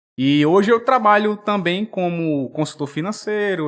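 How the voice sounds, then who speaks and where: On a very clean recording with a silent background, a man speaks in a strong potiguar accent. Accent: thick Potiguar (Rio Grande do Norte). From Brazil, Rio Grande do Norte (Natal). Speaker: finance executive and financial educator. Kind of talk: podcast interview. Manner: hesitant, many fillers.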